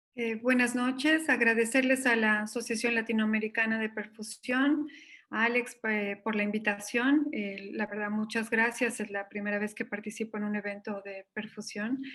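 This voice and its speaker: With a Bolivian accent, a woman speaks at a moderate pace with hardly any pauses, her fairly high pitch carrying a bright, sharp tone and fairly even intonation. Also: quiet background. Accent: Bolivian Spanish, noticeable. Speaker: intensive care physician. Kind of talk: conference presentation. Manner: hesitant, many fillers.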